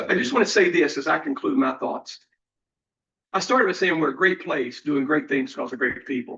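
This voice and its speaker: A man with a Virginia accent, high-pitched and bright, sharp in tone, at a fairly quick pace with very wide pitch swings. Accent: Southern US (Virginia). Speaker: college president. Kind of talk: board meeting report. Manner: fast.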